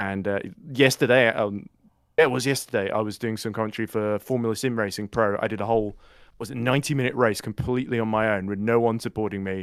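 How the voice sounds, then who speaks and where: On a very clean recording with a silent background, a man with an English accent talks at a very fast pace, fairly low in pitch with fairly even intonation. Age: 30s. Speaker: sim racing commentator. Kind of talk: casual chat.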